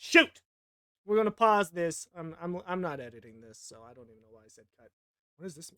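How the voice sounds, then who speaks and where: A man with an American accent speaks at a fairly quick pace, his pitch high. The sound is dry and close, with no echo. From United States. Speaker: art youtuber. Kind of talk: tutorial. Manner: casual, rambling self-talk; animated.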